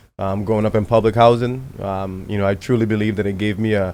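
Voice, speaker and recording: A man with a Virgin Islands accent speaks at a fairly quick pace in a fairly low, monotone voice with flat intonation. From US Virgin Islands (Saint Thomas). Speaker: baseball coach, former pro player. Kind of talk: podcast interview.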